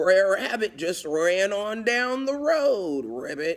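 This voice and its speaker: A put-on character voice sits at a middle pitch and moves at a very slow pace. Its pitch swings very wide. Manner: sly, playful.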